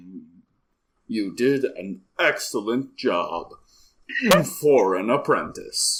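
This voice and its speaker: Using a put-on character voice at a medium pitch, a man speaks at a very slow pace with long, frequent pauses. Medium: actual play. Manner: slow, formal, unhurried.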